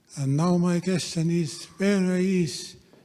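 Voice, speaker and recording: A man speaks very slowly with a non-native accent. His voice has a dark, mellow tone. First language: not English. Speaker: audience member asking question. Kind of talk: audience question. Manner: halting.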